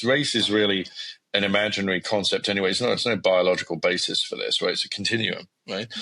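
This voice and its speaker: This man talks at a very fast pace. He has an English accent. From England. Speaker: academic scientist, podcast co-host. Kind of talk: casual conversation. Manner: hesitant, many repetitions and fillers.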